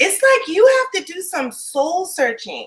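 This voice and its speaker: With a bright, sharp tone and a raised, projected voice, a woman speaks at a fairly slow pace across very wide pitch swings. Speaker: live stream host, small business founder. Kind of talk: live interview. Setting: live stream video call. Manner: loud.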